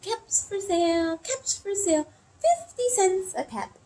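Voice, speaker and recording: Putting on a squeaky character voice at an extremely high pitch, a woman talks at a fairly slow pace. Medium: read story. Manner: calling out, insistent.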